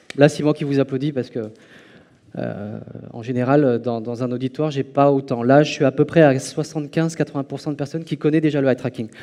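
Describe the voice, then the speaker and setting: A fairly quick pace with long, frequent pauses and fairly even intonation. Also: man. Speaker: conference speaker on eye tracking. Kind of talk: conference talk. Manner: loud; hesitant with fillers.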